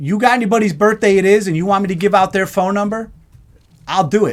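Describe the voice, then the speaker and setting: The voice is loud. Its tone is animated. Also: man. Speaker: live show host. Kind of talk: casual live-stream chat.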